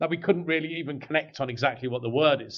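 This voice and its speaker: A man with an English accent. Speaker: business executive. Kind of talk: podcast interview.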